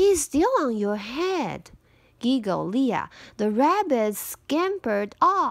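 Reading in an unforced voice.

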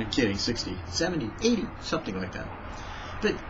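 A man is speaking, and background noise can be clearly heard. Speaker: devotional vlogger. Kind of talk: devotional talk. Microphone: webcam.

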